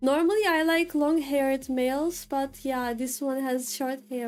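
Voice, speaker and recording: With music in the background, a woman with a Turkish accent speaks fairly slowly at a high pitch with ordinary pitch variation. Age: 20s. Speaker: vtuber streamer and artist. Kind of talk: casual chat. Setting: livestream.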